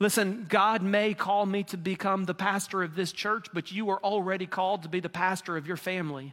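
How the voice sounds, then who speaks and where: A man's high, warm voice with a Southern US accent, fairly quick with hardly any pauses and fairly even intonation, in a very clean recording with a silent background. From Mississippi. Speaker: pastor candidate. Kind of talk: sermon. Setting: church. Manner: warm, conversational preacher, building to earnest invitation.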